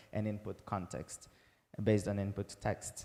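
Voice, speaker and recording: A man's dark, mellow voice with a Portuguese accent, at a moderate pace. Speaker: researcher presenting a paper. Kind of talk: conference talk. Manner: halting, many fillers.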